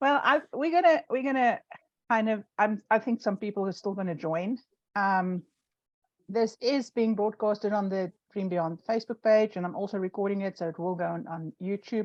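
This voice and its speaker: A woman with a South African accent talks at a medium pitch, the sound dry and close with no echo. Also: ordinary pitch variation, moderate pace. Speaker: online show host. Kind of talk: casual chat. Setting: live stream video call.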